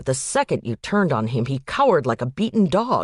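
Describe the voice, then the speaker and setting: A put-on character voice growls at a moderate pace. The background is quiet. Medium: read story. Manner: measured, reflective.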